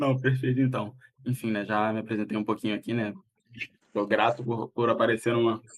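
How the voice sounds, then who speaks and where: Speaking a fairly quick pace broken by long, frequent pauses, a man keeps a medium pitch in a flat monotone. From Brazil, Rio de Janeiro (Rocinha). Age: 20s. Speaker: live stream guest telling life story. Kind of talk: interview on a live stream. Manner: halting, many fillers and restarts.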